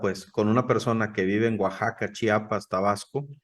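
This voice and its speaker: With a northern Mexican accent, a man talks in a fairly low pitch and a monotone, flat intonation. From northern Mexico. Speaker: podcast co-host. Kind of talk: casual chat.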